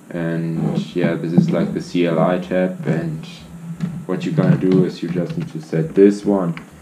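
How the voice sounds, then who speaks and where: A man at a fairly slow pace, with audible room echo and noticeable background noise. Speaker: drone racing pilot, video creator. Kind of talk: tutorial. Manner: casual, halting with fillers.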